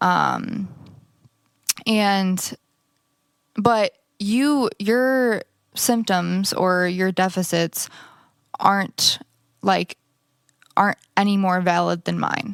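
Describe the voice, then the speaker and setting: A woman speaks at a very slow pace in a medium pitch with ordinary pitch variation, long, frequent pauses, and a dry, close sound with no echo. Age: 20s. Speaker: stroke survivor, church member. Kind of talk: testimony interview. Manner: halting.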